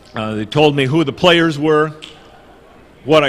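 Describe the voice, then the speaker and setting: At a moderate pace, a man speaks with fairly high pitch. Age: 60s. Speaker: political activist. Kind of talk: conference talk.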